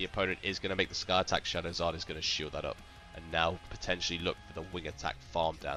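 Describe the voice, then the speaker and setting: A man's very deep, low voice at a very fast pace with fairly even intonation, over music in the background. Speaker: gaming YouTuber. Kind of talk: live commentary.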